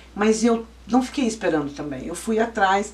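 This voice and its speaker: Noticeable background noise runs under a woman speaking at a fairly high pitch. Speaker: lawyer and law professor. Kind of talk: interview.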